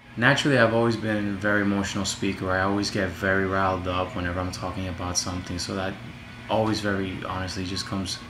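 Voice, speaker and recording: Amid noticeable background noise and audible room echo, a man with a very deep, low pitch speaks very fast in a flat monotone. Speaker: student. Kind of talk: self-evaluation monologue. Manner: loud; halting, many fillers.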